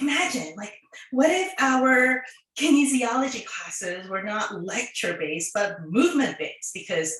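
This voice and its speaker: A woman speaks at a high pitch with very wide pitch swings, and audible room echo surrounds her voice. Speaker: occupational therapist and online content creator. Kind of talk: prepared talk to students.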